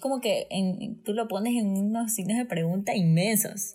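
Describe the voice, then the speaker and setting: A woman with a fairly high pitch and a somewhat breathy voice talks at a very slow pace. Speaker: guest. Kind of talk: testimony. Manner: animated.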